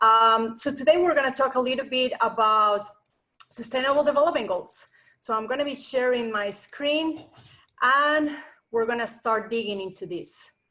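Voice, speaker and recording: A woman speaks with a Colombian accent. Her pitch is high and her tone bright and sharp. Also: ordinary pitch variation, moderate pace. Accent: foreign accent (Colombian Spanish). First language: Spanish. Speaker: nonprofit association president. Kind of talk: online presentation.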